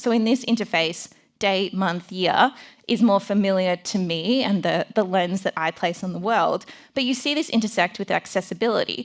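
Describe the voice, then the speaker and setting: With an Australian accent, a woman speaks at a medium pitch and a moderate pace, with ordinary pitch variation. The recording is very clean, with a silent background. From Melbourne, Australia. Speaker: design founder and conference speaker. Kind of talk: conference talk.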